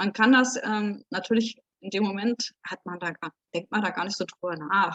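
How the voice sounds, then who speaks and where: Heard in a dry, close sound with no echo, a woman talks at medium pitch and a moderate pace with fairly even intonation. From Berlin. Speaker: contemporary witness. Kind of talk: interview answer. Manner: hesitant, casual.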